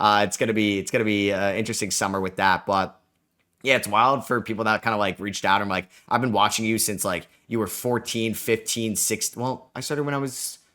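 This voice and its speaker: A man's fairly low voice, fairly quick in pace, bright and sharp in tone, with fairly even intonation. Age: 20s. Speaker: sports podcast host. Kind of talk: casual solo podcast talk. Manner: casual, many fillers.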